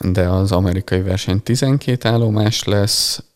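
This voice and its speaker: A man's fairly low voice at a very slow pace, with ordinary pitch variation. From Hungary, Balassagyarmat. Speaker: physiotherapist and techball coach. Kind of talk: interview. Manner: hesitant, many fillers.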